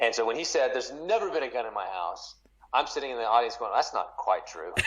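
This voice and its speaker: A man with an American accent talks at a very fast pace in a medium pitch over noticeable background noise. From Texas. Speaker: author. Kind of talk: interview. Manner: halting.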